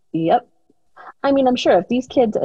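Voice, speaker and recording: A woman talks with lively intonation. Music plays in the background. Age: 40s. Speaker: podcast guest, host's sister. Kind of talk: casual interview conversation. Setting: at home, remote interview.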